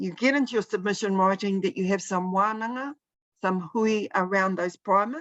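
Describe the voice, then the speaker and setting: A woman's medium-pitched voice with a New Zealand accent, moderate pace, ordinary pitch variation and a dry, close sound with no echo. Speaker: presenter at policy briefing. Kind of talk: online briefing presentation. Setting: video call.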